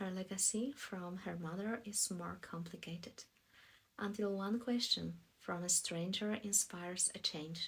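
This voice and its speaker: A somewhat breathy woman's voice at medium pitch, fairly slow in pace, with fairly even intonation. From Poland. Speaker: voice actor. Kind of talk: book promo read. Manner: clear pronunciation.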